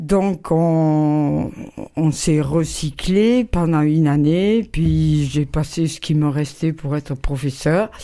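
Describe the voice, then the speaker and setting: A woman's very deep, low voice has a dark, mellow tone, moving at a very slow pace with ordinary pitch variation. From southwest France, Bergerac. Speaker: artist and printmaker, retired teacher. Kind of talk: interview. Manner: halting.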